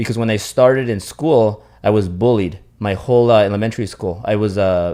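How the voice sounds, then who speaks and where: A man speaks with a Spanish accent at a fairly quick pace. His pitch is fairly low, with ordinary pitch variation. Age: 30s. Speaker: podcast host. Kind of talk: interview. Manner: halting, many false starts.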